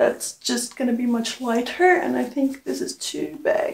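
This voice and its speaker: A woman speaking at a fairly slow pace. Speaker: clothing haul vlogger. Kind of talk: casual vlog chat. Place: home room.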